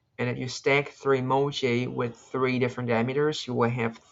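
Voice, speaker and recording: Monotone, flat delivery from a man at a medium pitch and fairly quick pace. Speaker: competitive programming video creator. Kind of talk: screen-recorded coding tutorial, thinking aloud. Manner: halting, self-correcting; casual.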